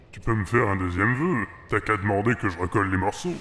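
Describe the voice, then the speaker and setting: A man does a cartoonish character voice at a fairly low pitch. He speaks at a very fast pace. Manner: casual, jaded, crude.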